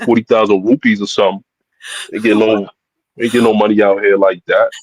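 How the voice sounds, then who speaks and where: A man speaks with a New York accent. The sound is dry and close, with no echo. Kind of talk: informal slang. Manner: casual, teasing banter.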